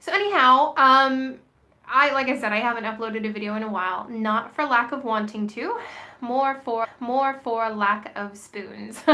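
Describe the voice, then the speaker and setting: Over noticeable background noise, a woman with a fairly high voice speaks at a fairly slow pace with fairly even intonation. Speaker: vlogger. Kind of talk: casual vlog monologue. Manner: hesitant, many fillers.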